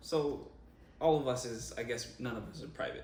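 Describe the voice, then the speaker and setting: A man at a moderate pace, with audible room echo. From Jamaica, Montego Bay. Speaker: vlogger, co-host. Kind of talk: casual chat.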